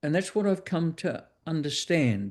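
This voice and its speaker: A man speaks with a New Zealand accent at a moderate pace. The background is quiet. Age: 60s. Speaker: author and educator. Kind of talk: interview. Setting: video call. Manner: halting.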